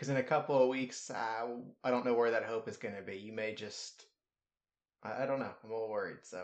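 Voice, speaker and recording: A man with an unremarkable speaking voice talks at a medium pitch and a fairly quick pace. His intonation stays fairly even. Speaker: sports podcast host. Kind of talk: casual chat.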